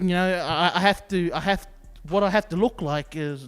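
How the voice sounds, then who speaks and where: Over music in the background, a man with a high pitch speaks at a moderate pace. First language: not English. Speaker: youth podcast co-host. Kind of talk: casual chat.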